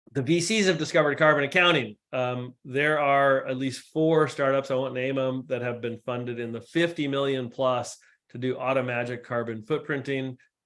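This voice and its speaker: A plain, everyday voice: a man at a medium pitch, moderate pace, fairly even intonation and hardly any pauses. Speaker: climate data expert, guest speaker. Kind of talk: lecture.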